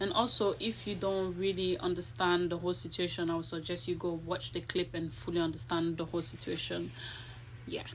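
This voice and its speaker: A woman speaks at a fairly quick pace with a fairly low pitch. Vocal fry runs through her voice. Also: ordinary pitch variation. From Ivory Coast, then London from age fifteen. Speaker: social media commenter, hairdresser. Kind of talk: personal video statement. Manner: halting.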